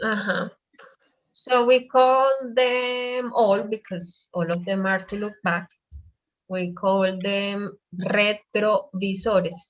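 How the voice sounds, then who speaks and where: With a Spanish accent, a woman talks very slowly at a medium pitch, her pitch varying in an ordinary way. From Colombia. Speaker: Spanish teacher. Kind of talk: online language class.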